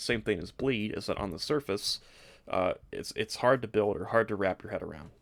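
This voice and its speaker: Lively intonation at a fairly quick pace in a very clean recording with a silent background. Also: man. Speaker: gaming YouTuber. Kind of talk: game build tutorial. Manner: fast.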